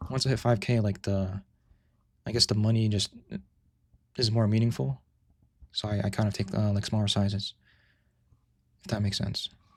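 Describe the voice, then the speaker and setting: A somewhat breathy man, fairly low-pitched and fairly quick, with fairly even intonation and long, frequent pauses. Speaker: day trader streaming live trades. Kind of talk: live stream tutorial with chat Q&A. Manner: casual, halting with repetitions.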